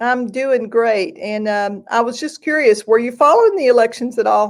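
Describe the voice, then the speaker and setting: At a moderate pace, a woman with a Southern accent talks in a fairly high pitch with ordinary pitch variation. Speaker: host of a songwriting livestream. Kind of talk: casual interview chat; sales pitch.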